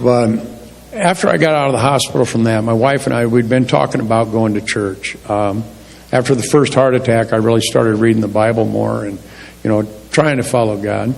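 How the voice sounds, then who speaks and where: A man speaks at a fairly quick pace with a medium pitch and ordinary pitch variation, with audible room echo and noticeable background noise. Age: 60s. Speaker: church member sharing testimony. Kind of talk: testimony. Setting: church. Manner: casual, plain-spoken.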